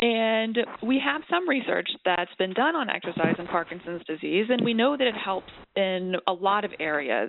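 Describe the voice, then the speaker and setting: Speaking at a fairly slow pace, a woman with a normal speaking voice uses lively intonation at a medium pitch. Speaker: neurologist. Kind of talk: expert panel discussion, webinar.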